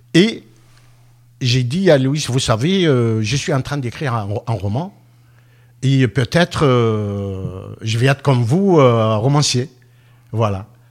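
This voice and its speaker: A medium-pitched man with lively intonation at a very slow pace, with long, frequent pauses, in a very clean recording with a silent background. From Tunisia. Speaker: author, former public works contractor. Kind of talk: radio interview. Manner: halting.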